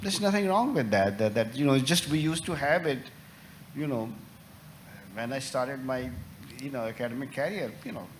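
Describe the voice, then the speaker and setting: A man at a medium pitch with lively intonation, talking at a fairly quick pace broken by long, frequent pauses, amid noticeable background noise and audible room echo. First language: not English. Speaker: journal editor, professor. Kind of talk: panel discussion. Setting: conference stage with audience. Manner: halting, many fillers.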